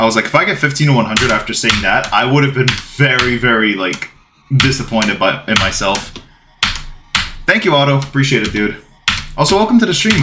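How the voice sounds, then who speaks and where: A man talks at a very fast pace, breaking often for long pauses, with lively intonation. Room echo is audible and background noise is noticeable. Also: medium pitch for a man. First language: Bulgarian. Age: 20s. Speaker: game streamer. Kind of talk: casual live stream chat.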